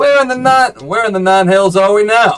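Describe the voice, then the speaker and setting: A man puts on a drawling character voice in a Southern Texas accent, part of the act. He pitches it high and keeps a moderate pace. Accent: Southern Texan. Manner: slow, drawling.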